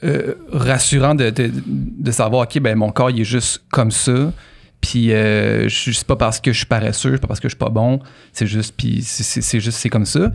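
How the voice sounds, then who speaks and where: With a Quebec accent, a man talks at a fairly slow pace and medium pitch, with vocal fry, very even loudness and ordinary pitch variation, over a quiet background. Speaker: podcast co-host; podcast host. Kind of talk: casual chat. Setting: studio. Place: home room. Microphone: studio mic.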